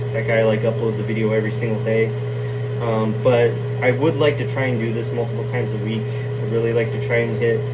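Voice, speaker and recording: A man rushes at a very fast pace, heard with audible room echo and noticeable background noise. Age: 20s. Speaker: fitness vlogger. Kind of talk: casual chat. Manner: halting.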